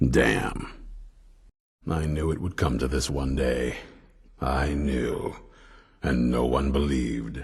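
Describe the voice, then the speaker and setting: In a put-on character voice, a man speaks at a fairly slow pace with a very deep, low pitch and long, frequent pauses. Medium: video game. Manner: gruff, blunt.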